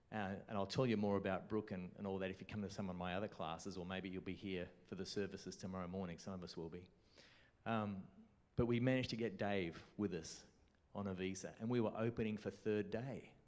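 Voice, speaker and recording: Speaking very fast with an Australian accent, a man uses fairly even intonation and fairly low pitch, with audible room echo. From Australia, Melbourne. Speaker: conference speaker and bass guitarist. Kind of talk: conference workshop talk. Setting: conference classroom with audience.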